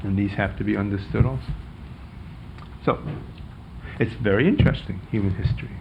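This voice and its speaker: A man with a New York accent talks at a fairly quick pace with lively intonation, fairly low pitch, vocal fry and long, frequent pauses. Room echo is audible. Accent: New York American. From US Northeast, New York City. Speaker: professor. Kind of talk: lecture.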